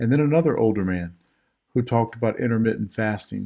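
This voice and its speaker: A man talks fairly quickly in a normal speaking voice with fairly low pitch. The recording is very clean, with a silent background. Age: 50s. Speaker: retired police officer. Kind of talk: reading own blog post to camera.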